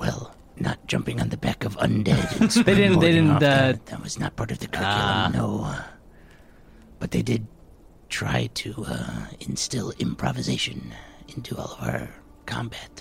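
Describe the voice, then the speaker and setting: Putting on a character voice, a man talks at a moderate pace in a very deep, low pitch, with long, frequent pauses. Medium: actual play. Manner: modest, calm, practical.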